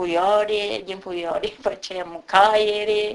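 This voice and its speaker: Very slowly, a woman gets her words out. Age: 60s. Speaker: village elder. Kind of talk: field interview, reminiscing.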